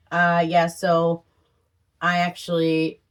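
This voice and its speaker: The woman's voice sits at a fairly low pitch. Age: 40s. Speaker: channel owner, vlogger. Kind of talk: casual chat.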